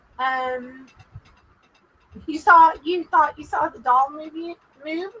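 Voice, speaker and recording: Speaking very slowly in a strong Texas accent, a woman projects a raised voice at an extremely high pitch, bright and sharp in tone, with lively intonation. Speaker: paranormal show host. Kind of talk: live stream chat with spirit communication session. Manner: careful enunciation.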